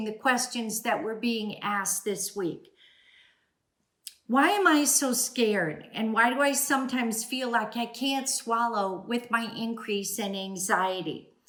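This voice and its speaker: Speaking fairly slowly, a woman with a fairly high pitch has an unremarkable speaking voice. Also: lively intonation. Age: 60s. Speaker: speech-language pathologist. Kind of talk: educational talk. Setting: at home.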